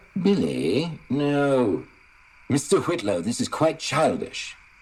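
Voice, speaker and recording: The speaker talks with a British accent at a fairly slow pace. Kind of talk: formal, proper. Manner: stiff, prim.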